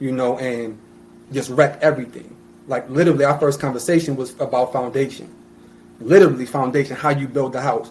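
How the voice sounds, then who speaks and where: A man's medium-pitched voice with an American accent, fairly quick pace and fairly even intonation. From US Northeast, Plainfield (New Jersey). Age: 30s. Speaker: podcast guest, small business owner. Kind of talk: casual chat. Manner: loud; passionate.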